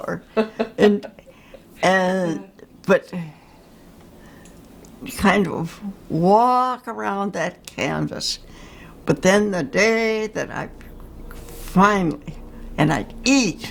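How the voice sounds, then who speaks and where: This woman speaks at a very slow pace, with long, frequent pauses. Her pitch is medium and varies in an ordinary way. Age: 80s+. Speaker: Jungian analyst and painter. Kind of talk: interview answer.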